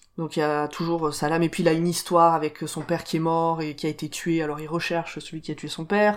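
A woman's fairly low pitch at a very fast pace, monotone and flat in intonation, with hardly any pauses, in a very clean recording with a silent background. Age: 30s. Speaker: podcast co-presenter, film fan. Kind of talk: casual chat.

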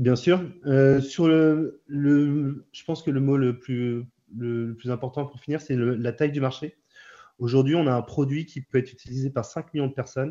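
Fairly high in pitch, a man speaks at a fairly slow pace with fairly even intonation. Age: 30s. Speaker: startup founder. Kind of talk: interview. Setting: video call. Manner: hesitant, frequent fillers.

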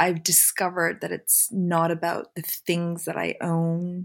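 A woman's fairly low-pitched voice. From Canada (Montreal). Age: 40s. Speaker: magazine publisher and fashion director. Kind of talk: casual interview.

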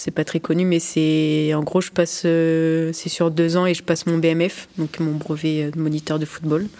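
This woman talks at a very slow pace, her pitch fairly low. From France, Limoges. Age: 20s. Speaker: goalkeeper and sports student. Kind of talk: interview. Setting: locker room after a match.

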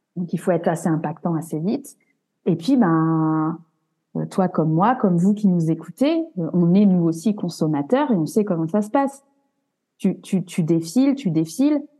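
With music in the background, a woman with a fairly low pitch talks at a fairly slow pace using lively intonation. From France. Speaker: graphic and web designer. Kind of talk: casual interview.

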